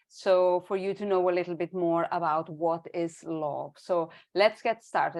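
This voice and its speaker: Speaking at a fairly slow pace with a Spanish accent, a woman with a fairly low voice is heard over a quiet background. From Spain, Barcelona. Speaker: education consultant and signing tutor. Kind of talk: online presentation. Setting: video call webinar.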